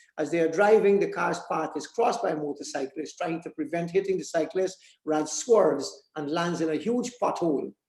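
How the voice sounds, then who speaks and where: A man speaks high in pitch, with ordinary pitch variation. He moves at a fairly quick pace with hardly any pauses. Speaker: writer. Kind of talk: reading aloud. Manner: halting.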